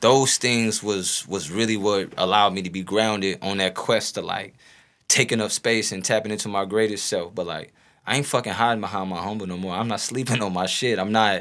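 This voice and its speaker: A man talks at a fairly quick pace in a fairly low pitch. It is a normal speaking voice with fairly even intonation. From North St. Louis, Missouri. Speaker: rapper. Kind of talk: casual chat.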